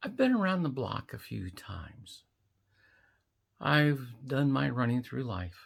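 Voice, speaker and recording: On a very clean recording with a silent background, a woman with a very deep, low pitch and vocal fry speaks fairly slowly, her voice making very wide pitch swings. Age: 60s. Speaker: vlogger. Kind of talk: casual monologue to camera.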